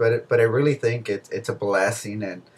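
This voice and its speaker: At a fairly quick pace, a man talks in a somewhat breathy voice with a medium pitch. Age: 20s. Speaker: groom-to-be. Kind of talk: casual interview. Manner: halting, many repetitions.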